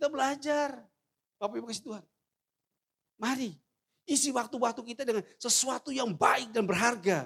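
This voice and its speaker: A man speaks at a moderate pace. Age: 60s. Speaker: pastor. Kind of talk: sermon. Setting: church.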